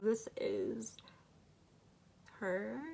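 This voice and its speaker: A woman speaks. Her voice has vocal fry. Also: very clean recording, silent background. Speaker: beauty YouTuber. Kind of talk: makeup review and tutorial. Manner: casual, filler-heavy; stutters when her husband is around.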